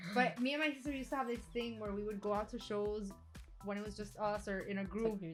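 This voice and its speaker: Over music in the background, a woman speaks at a fairly high pitch with ordinary pitch variation. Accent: American. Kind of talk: casual podcast conversation. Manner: casual, chatty.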